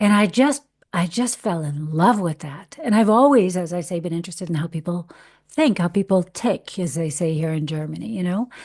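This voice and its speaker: Against a quiet background, a woman with an American accent uses a normal speaking voice, fairly low in pitch, with lively intonation. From US Midwest, Detroit. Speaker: actor and voiceover artist. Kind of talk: casual interview chat.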